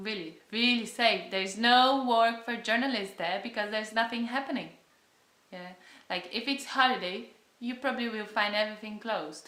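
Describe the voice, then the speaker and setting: In a Brazilian Portuguese accent, a woman speaks at a moderate pace with a fairly high pitch, a bright, sharp tone, and ordinary pitch variation, with audible room echo. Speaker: travel vlogger. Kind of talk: casual vlog talk. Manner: halting.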